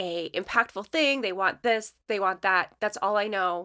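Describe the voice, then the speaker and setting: A woman with a Michigan accent speaks at medium pitch in a bright, sharp tone with ordinary pitch variation. The recording is very clean, with a silent background. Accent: Michigan, Canadian-sounding vowels. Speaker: letterpress and design studio artist. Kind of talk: casual chat.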